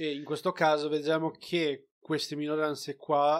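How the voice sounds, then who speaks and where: Speaking at a fairly slow pace, a man with a fairly high pitch is heard on a very clean recording with a silent background. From outside Italy, a developing country. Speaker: film review podcast co-host. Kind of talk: casual chat.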